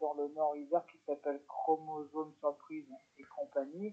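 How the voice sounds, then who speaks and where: A dark, mellow tone at a fairly slow pace. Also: man. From France, Lyon. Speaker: psychomotor therapist and charity founder. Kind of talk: radio interview. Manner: halting.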